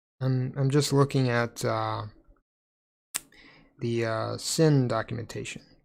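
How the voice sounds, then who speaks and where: Mumbled speech delivered at a very slow pace. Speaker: programming live streamer. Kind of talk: live coding stream. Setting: live stream with chat. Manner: mumbling. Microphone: mic too quiet.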